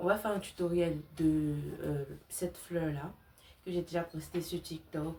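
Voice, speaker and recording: The speech comes at an average speed. Its intonation is fairly even. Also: woman. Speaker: crochet content creator. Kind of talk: tutorial. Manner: casual, with many fillers.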